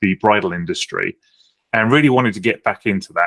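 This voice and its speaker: The sound of this man with a British accent is dry and close, with no echo. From United Kingdom. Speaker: software founder. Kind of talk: podcast interview.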